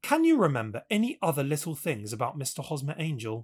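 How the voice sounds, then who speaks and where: In a British accent, a man speaks with very wide pitch swings, recorded very cleanly against a silent background. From England. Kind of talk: audiobook reading.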